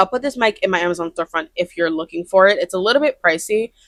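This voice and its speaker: A woman's medium-pitched voice in a dry, close sound with no echo. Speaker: crochet artist and vlogger. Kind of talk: casual vlog talk to camera. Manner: loud, projects voice; fast, chatty with many fillers. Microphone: brand new mic.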